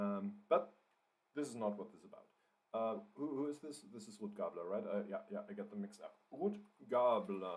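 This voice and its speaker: With a German accent, the speaker moves at a moderate pace, with very wide pitch swings and big swings in loudness. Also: man, fairly high pitch for a man. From Germany. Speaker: writer and livestreamer. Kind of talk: live writing stream, casual chat. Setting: livestream. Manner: hesitant, many fillers and repeats.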